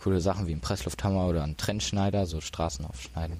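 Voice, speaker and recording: At a fairly quick pace, a man talks in a very deep, low pitch with ordinary pitch variation. His tone is dark and mellow, with vocal fry. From Ruhr area, Germany (Duisburg). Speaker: disaster relief volunteer. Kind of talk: casual chat. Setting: hacker event.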